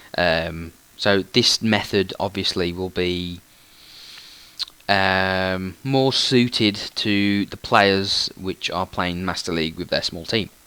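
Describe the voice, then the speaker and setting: Speech unfolds at a very slow pace with fairly even intonation. The tone is bright and sharp. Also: man, very deep, low pitch for a man. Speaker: gaming YouTuber. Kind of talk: tutorial. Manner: hesitant, many fillers.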